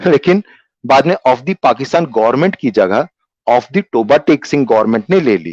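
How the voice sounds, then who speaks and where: In a dry, close sound with no echo, a man speaks with vocal fry. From Kolkata, India. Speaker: theatre actor. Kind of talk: dramatised story reading.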